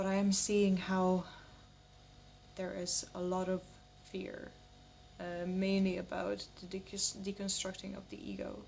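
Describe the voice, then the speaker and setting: A woman speaks at a fairly slow pace with long, frequent pauses. Noticeable background noise is present. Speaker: spiritual vlogger. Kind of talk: personal vlog monologue.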